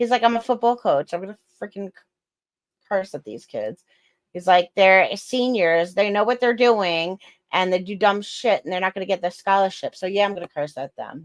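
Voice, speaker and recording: In a dry, close sound with no echo, a woman of medium pitch speaks at a moderate pace with an animated tone, big swings in loudness and ordinary pitch variation. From New York. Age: 40s. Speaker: podcast co-host. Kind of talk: casual chat.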